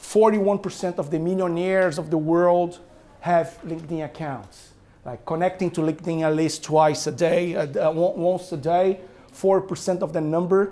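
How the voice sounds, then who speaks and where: This man has a high pitch and a dark, mellow tone. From Brazil. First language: Portuguese. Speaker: author and business owner. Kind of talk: talk to an audience. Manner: animated.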